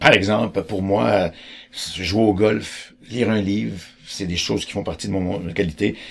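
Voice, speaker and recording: At a moderate pace, a man speaks with a very deep, low pitch and ordinary pitch variation. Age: 60s. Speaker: choice theory educator. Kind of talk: explanatory talk.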